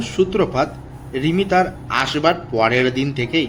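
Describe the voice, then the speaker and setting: A man with a fairly high pitch and lively intonation, music in the background. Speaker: horror story narrator / channel host. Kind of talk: horror story narration. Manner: suspenseful storytelling.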